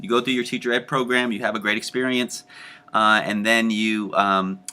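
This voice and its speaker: With a bright, sharp tone, a man speaks at a medium pitch in a monotone, flat intonation. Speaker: teacher education professor. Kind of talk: lecture. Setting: home recording. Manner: fast.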